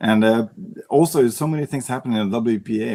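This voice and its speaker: With a Swedish accent, a man speaks at a fairly quick pace. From Sweden. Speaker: para pool player. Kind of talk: interview.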